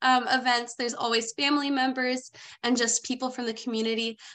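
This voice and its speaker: Her voice high and her tone bright and sharp, a woman speaks at a fairly quick pace. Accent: American. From Forks, Washington; Washington. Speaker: university student; panelist. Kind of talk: casual chat. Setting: video call. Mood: warm, enthusiastic. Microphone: webcam.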